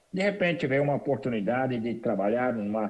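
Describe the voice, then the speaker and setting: A man talks at a medium pitch. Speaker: immigrant entrepreneur. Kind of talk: interview. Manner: repetitive hesitant.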